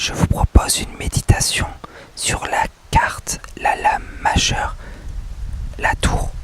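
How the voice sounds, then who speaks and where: A man whispers at a very slow pace with long, frequent pauses. Noticeable background noise sits behind him. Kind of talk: ASMR meditation on a tarot card, whispered. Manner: whispered, soft.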